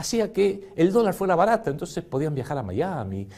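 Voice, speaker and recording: A man with a Rioplatense accent speaks at a moderate pace and a high pitch, his pitch swinging very widely. Noticeable background noise runs underneath. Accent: Argentine Rioplatense Spanish. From Argentina. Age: 60s. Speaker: political economy commentator. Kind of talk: lecture with slides.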